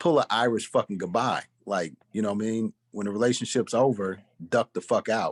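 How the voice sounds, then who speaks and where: A plain, everyday voice at a fairly quick pace, with ordinary pitch variation and a dry, close sound with no echo. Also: man, medium pitch for a man. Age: 40s. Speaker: podcast co-host. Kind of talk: casual chat.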